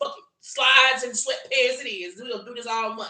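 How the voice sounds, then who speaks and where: Animated in tone, a woman speaks with an American accent. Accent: Southern drawl, toned down for audience. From US South, South Louisiana. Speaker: tarot reader. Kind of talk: tarot reading livestream. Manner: animated, emphatic.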